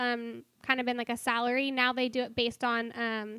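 A woman speaks loudly at a fairly high pitch, her tone bright and sharp. Her intonation is monotone and flat on a very clean recording with a silent background. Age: 20s. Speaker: coffee stand worker. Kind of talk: casual chat.

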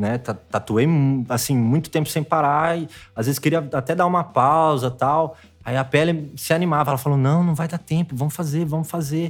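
An unremarkable speaking voice from a man, fairly high in pitch, at a moderate pace with fairly even intonation, on a very clean recording with a silent background. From interior of São Paulo state, Brazil. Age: 30s. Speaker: tattoo artist. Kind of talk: casual chat.

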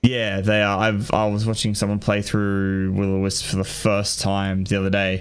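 Hardly pausing, a man with an Australian accent talks at a moderate pace, fairly low-pitched and monotone, flat. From Australia (New South Wales). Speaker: gaming podcast host. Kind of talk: casual chat.

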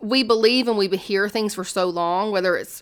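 A woman speaks at a moderate pace with a medium pitch and fairly even intonation. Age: 30s. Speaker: life coach and hairstylist. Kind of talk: casual chat.

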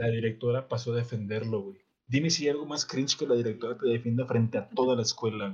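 Somewhat breathy and medium in pitch, a man speaks at a very fast pace. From Monterrey, northern Mexico. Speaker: podcast co-host. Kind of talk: casual chat. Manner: animated.

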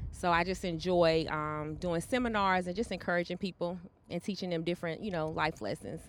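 A fairly low-pitched woman with a Southern US accent, a fairly quick pace, and fairly even intonation. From North Carolina (Charlotte). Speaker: abuse survivor and author. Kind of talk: testimony.

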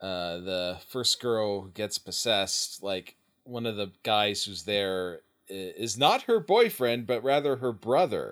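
Here a man talks in an ordinary speaking voice, fairly low in pitch and fairly slow. The recording is very clean, with a silent background. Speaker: podcast co-host. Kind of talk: casual chat. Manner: casual, laughs often.

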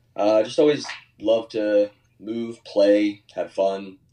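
This man has a plain, everyday voice with a fairly low pitch. His intonation stays fairly even. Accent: American. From US Northeast, Philadelphia suburbs. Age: 20s. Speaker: personal trainer. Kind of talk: casual chat.

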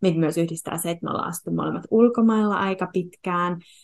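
In a normal speaking voice, the speaker keeps a moderate pace with ordinary pitch variation over a quiet background. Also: woman. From Finland. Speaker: podcast host and yoga teacher. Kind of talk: casual interview conversation; scripted intro.

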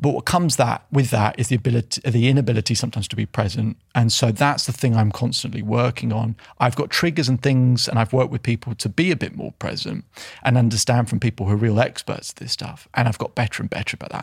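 Somewhat breathy, a man's voice races at a very fast pace. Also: medium pitch for a man, ordinary pitch variation. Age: 30s. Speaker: self-belief coach. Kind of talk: casual interview. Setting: studio.

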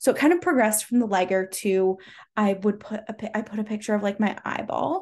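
A somewhat breathy voice with an American accent at a fairly quick pace, against a quiet background. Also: woman. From US West Coast (Washington and Southern California). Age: 30s. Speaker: podcast host and online business mentor. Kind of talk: casual solo podcast monologue. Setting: home recording with dog in room. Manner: chatty, with filler words and laughs.

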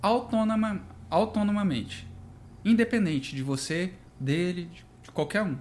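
A high-pitched man at a fairly slow pace with lively intonation. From Brasília, Brazil. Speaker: architect and stone business owner. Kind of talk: casual chat.

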